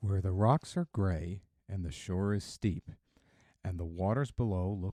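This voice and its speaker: With a calm, soothing tone that is also dark and mellow, a man speaks at a fairly slow pace in a very deep, low pitch with ordinary pitch variation, the sound dry and close with no echo. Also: very clean recording, silent background. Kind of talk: poetry reading.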